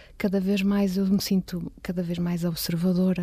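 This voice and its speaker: A somewhat breathy woman's voice, medium in pitch, with a dark, mellow tone. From Porto, northern Portugal. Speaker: visual artist. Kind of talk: interview. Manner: halting, many repetitions.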